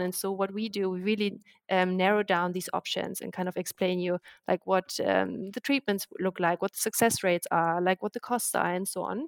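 Someone speaks with a German accent at a fairly quick pace. The sound is dry and close, with no echo. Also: woman. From Germany. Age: 30s. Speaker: startup co-founder. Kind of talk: podcast interview.

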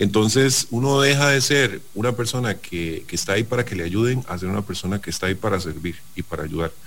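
With lively intonation and hardly any pauses, an unremarkable speaking voice moves at a fairly quick pace. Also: man, fairly low pitch for a man. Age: 40s. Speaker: business executive. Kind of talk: radio interview.

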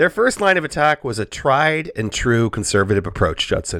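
A man talks at a moderate pace with vocal fry and very wide pitch swings, in a very clean recording with a silent background and a dry, close sound with no echo. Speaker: podcast host. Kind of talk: casual comedic chat podcast. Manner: joking, laughs often.

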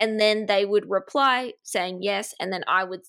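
In an Australian accent, a woman speaks fairly slowly in a bright, sharp, fairly high voice with ordinary pitch variation. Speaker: business coach and agency owner. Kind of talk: casual interview chat.

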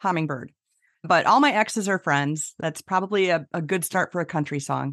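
With an unremarkable speaking voice, a woman talks at a fairly quick pace and fairly low pitch with ordinary pitch variation, the sound dry and close with no echo against a quiet background. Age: 50s. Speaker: business humorist and speaker. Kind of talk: casual interview chat.

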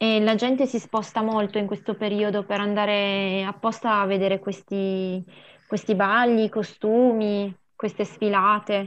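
Against a quiet background, the speaker talks fairly slowly in a flat monotone. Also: woman, medium pitch for a woman. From Piedmont, Italy (Mondovì area), Sri Lankan parents. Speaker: amateur theatre member. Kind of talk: casual chat.

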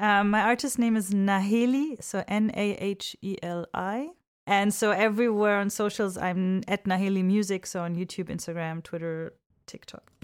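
A woman with a non-native accent at a moderate pace and fairly even intonation, in a very clean recording with a silent background. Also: medium pitch for a woman. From Egypt / Europe. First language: not English. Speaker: singer-songwriter. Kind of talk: casual chat.

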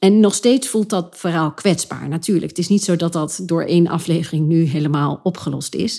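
A woman speaks at a moderate pace in a dark, mellow tone and a fairly low pitch. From Achterhoek, eastern Netherlands. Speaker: podcast host and creative entrepreneur, former actress. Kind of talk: solo podcast monologue. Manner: animated.

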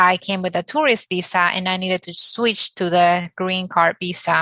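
Speaking at a moderate pace and medium pitch, a woman with a Spanish accent has a bright, sharp tone and fairly even intonation. The sound is dry and close, with no echo. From Dominican Republic. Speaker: architect. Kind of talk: panel discussion.

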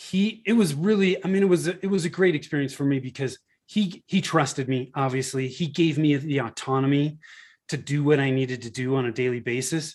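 In a very clean recording with a silent background, a man with an American accent uses a normal speaking voice at a fairly high pitch, speaking at a fairly quick pace with ordinary pitch variation. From Northern California. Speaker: marketing agency founder. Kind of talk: interview.

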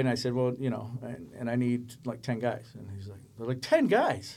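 Monotone and flat, a man talks at a fairly quick pace in an American accent. His voice sits at a medium pitch with a dark, mellow tone. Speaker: special effects coordinator. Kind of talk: casual chat.

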